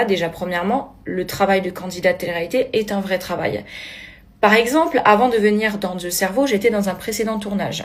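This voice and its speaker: With a Corsican accent, a woman talks at a moderate pace in an animated tone, her medium pitch showing ordinary variation. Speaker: reality TV contestant. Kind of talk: video blog rant.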